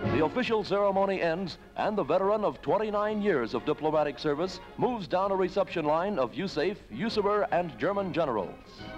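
Over music in the background, a man talks at a very fast pace with hardly any pauses, using a high pitch and ordinary pitch variation. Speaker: newsreel narrator. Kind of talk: newsreel narration.

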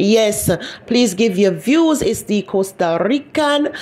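A woman's fairly high voice carries lively intonation, with noticeable background noise around her. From Jamaica, Kingston. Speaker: YouTube commentary host. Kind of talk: gossip commentary.

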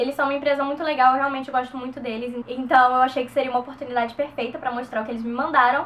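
Her intonation monotone and flat, a woman talks at a high pitch. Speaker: beauty vlogger. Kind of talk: tutorial. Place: home room. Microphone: camera far.

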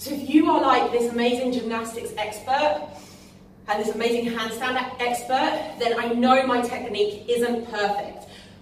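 A woman's high-pitched voice at a moderate pace, fairly even intonation, light background noise and audible room echo. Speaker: fitness coach. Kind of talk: tutorial. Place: gym. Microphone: camera far.

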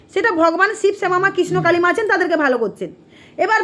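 Over noticeable background noise, a woman talks at an extremely high pitch in an animated tone. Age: 30s. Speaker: temple devotee YouTuber. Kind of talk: angry rant. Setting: temple.

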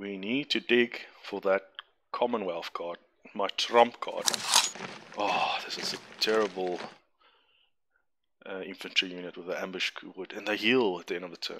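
A man with a non-native accent and a fairly low voice talks at a moderate pace, his intonation fairly even, with long, frequent pauses. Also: big swings in loudness. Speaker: gamer. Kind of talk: gameplay commentary. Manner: casual, hesitant.

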